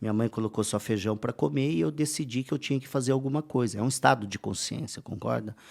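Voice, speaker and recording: A man's medium-pitched voice at a very fast pace with hardly any pauses and lively intonation, on a very clean recording with a silent background. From interior of São Paulo state, Brazil. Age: 40s. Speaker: entrepreneur and speaker. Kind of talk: podcast interview. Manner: casual, with frequent fillers.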